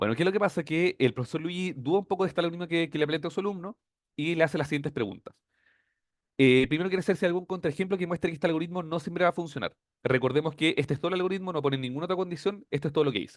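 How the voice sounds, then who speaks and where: Pitched high, a man rattles along at a very fast pace while his pitch varies in an ordinary way. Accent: Chilean. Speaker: teaching assistant. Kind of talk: tutorial.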